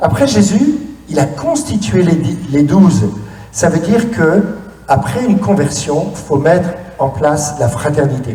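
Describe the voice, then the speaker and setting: A man with a fairly high pitch and lively intonation speaks at a fairly slow pace, amid noticeable background noise and audible room echo. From France, cider region (Normandy or Brittany). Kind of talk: conference talk. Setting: stage with audience. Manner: animated, interactive.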